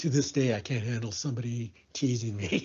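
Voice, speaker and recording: A man speaks at a medium pitch with ordinary pitch variation, his voice somewhat breathy. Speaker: warehouse worker. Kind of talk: documentary interview testimony.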